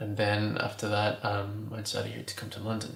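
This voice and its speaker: In a room with audible echo and noticeable background noise, a man with an American accent speaks at a fairly low pitch in a monotone, flat intonation. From California and Mexico. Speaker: fashion designer. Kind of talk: interview. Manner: hesitant, many fillers.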